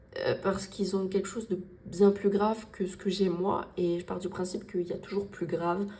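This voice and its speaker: Over noticeable background noise, a woman of medium pitch talks at a fairly quick pace in a monotone, flat intonation. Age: 20s. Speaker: budgeting vlogger. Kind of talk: casual vlog talk to viewers. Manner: poorly articulated, repetitive, hesitant.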